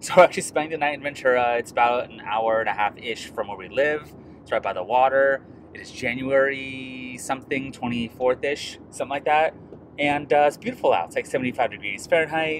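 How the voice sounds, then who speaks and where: Over noticeable background noise, a man speaks at a fairly quick pace with ordinary pitch variation and big swings in loudness, the sound dry with no echo. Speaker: beer vlogger. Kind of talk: casual vlog chat. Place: car. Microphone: phone near.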